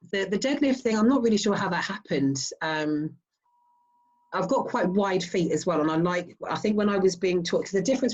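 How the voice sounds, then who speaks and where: A woman with a southern English accent sounds somewhat breathy. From Southeast England. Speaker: strongwoman athlete. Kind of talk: interview.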